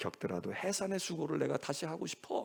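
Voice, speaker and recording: A man speaks in an animated tone at a moderate pace. His fairly high pitch makes very wide swings. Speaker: senior pastor. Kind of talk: sermon.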